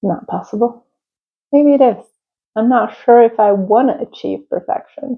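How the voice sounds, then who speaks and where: A woman speaks with a high pitch and ordinary pitch variation. She leaves long, frequent pauses. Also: moderate pace. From Czech Republic. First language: Czech or Italian. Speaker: crafter and small business owner. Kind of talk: casual chat. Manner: halting.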